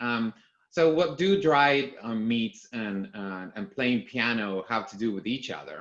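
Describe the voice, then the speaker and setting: Lively intonation marks this medium-pitched man speaking with a Spanish accent. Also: fairly slow pace, big swings in loudness. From Argentina. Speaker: company executive. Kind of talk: conference talk. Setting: video call. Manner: halting, many fillers.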